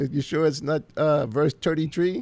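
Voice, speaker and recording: In an American accent, a man speaks at a very slow pace. His tone is dark and mellow, and his pitch is fairly high. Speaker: pastor. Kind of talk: casual chat.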